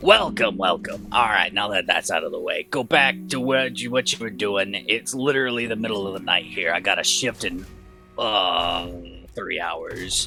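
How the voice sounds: In a put-on character voice, a man talks at a low pitch with a bright, sharp tone, vocal fry and ordinary pitch variation. He keeps a moderate pace, with faint music in the background.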